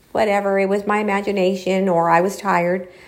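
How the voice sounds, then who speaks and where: A woman speaks with an American accent at a moderate pace. Audible room echo surrounds her voice. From Los Angeles, US. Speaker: paranormal storyteller, channel host. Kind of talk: casual monologue storytelling. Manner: chatty, with fillers and restarts.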